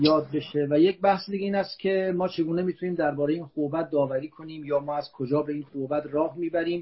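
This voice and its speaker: At a fairly quick pace, a somewhat breathy man talks with fairly even intonation. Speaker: philosophy professor. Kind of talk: lecture. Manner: formal; soft-spoken.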